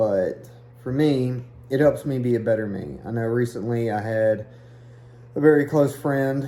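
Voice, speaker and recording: Against noticeable background noise, a man with an Eastern Kentucky accent speaks at a fairly slow pace with long, frequent pauses. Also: medium pitch for a man, ordinary pitch variation. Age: 30s. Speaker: hiking vlogger. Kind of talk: casual vlog talk.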